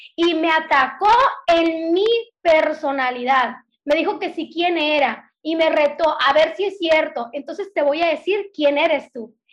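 With a northern Mexican accent, a woman talks at a fairly slow pace in an extremely high pitch, her pitch variation ordinary and her loudness swinging widely. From northern Mexico (Sonora, Hermosillo). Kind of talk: casual faith conversation.

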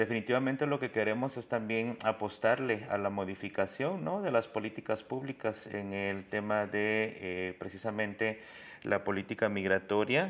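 On a very clean recording with a silent background, a man speaks at a moderate pace. His voice is fairly low, with ordinary pitch variation. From Guatemala City. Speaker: migrant rights worker. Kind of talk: interview.

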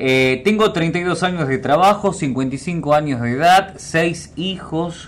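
In an ordinary speaking voice, a man talks with lively intonation at a fairly high pitch. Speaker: radio host. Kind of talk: reading listener messages aloud. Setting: radio studio.

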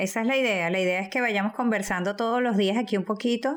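Her pitch sits fairly high. The background is silent on a very clean recording. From Venezuela. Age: 40s. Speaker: teacher and fitness podcast co-host. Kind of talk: casual chat.

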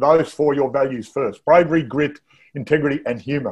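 At a fairly quick pace and with fairly even intonation, the speaker talks in an Australian accent. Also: man. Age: 60s. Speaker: interviewer host. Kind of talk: casual interview.

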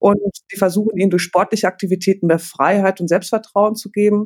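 A woman at a medium pitch, fairly quick, with ordinary pitch variation. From Germany, Paderborn. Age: 40s. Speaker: teacher managing charity projects. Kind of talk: casual chat.

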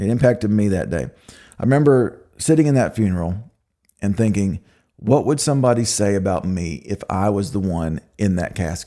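Speaking at a moderate pace, a man with an American accent has a dark, mellow tone. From Oklahoma. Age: 40s. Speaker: podcast host. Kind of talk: personal testimony. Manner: halting.

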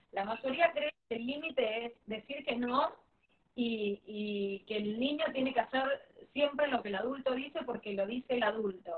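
With a Rioplatense accent, the speaker talks at a moderate pace with ordinary pitch variation. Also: woman. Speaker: parenting educator. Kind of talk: live-stream interview.

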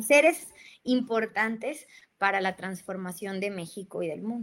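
A woman with ordinary pitch variation. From Mexico, Jalpa, Zacatecas; raised partly in Guadalajara. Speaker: lawyer. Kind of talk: interview.

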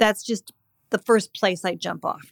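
A woman talks at a fairly quick pace in a medium pitch, her intonation fairly even. She has an ordinary speaking voice, and the recording is very clean with a silent background. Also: dry, close sound with no echo. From California (Montecito). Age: 60s. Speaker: screenwriter and author. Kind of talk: casual interview. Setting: at home.

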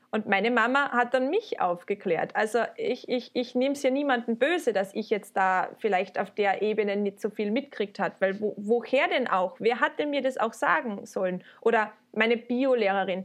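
A woman with an ordinary speaking voice talks at a moderate pace and fairly high pitch, with ordinary pitch variation and hardly any pauses. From Austria, Carinthia. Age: 20s. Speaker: student teacher and vulva sculptor. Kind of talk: casual interview.

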